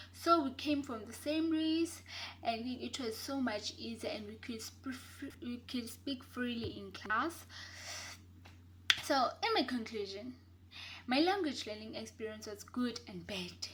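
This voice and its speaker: Fairly slow speech in a South African accent. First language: Xhosa. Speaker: university student. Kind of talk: class assignment presentation.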